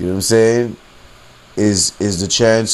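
Amid noticeable background noise, a man with a fairly low pitch talks at a moderate pace using fairly even intonation. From US, rough urban neighborhood. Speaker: podcaster. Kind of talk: monologue rant. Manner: abrasive tone; casual, filler-heavy.

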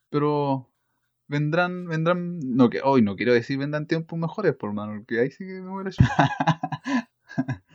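A normal speaking voice at a fairly slow pace, big swings in loudness, dry, close sound with no echo. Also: man, fairly high pitch for a man, lively intonation. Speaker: podcast host, trainee teacher. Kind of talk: casual chat.

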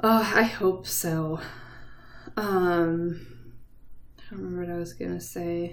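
The speech moves at a fairly slow pace with long, frequent pauses. Room echo is audible, and the loudness swings widely. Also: woman. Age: 30s. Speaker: podcast host. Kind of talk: casual chat. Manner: animated.

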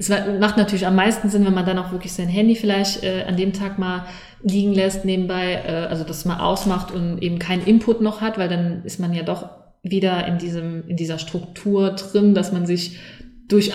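A woman talks at a moderate pace with fairly even intonation, her voice carrying audible room echo amid noticeable background noise. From Saarland, Germany. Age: 30s. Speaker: mindfulness coach. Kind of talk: casual interview. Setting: in person, recorded together on site.

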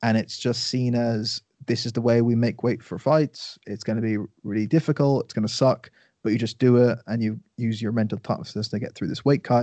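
A man with an Irish accent speaks at a fairly quick pace, his pitch medium and his intonation fairly even. The sound is dry and close with no echo, over a quiet background. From Ireland. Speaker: nutrition coach and podcaster. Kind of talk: casual chat. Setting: podcast interview.

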